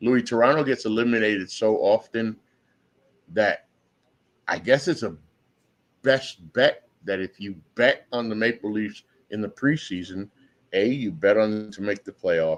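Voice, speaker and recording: In an animated tone, a man with a fairly low pitch speaks at a moderate pace, with big swings in loudness and long, frequent pauses. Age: 60s. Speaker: sports podcast host. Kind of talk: casual chat.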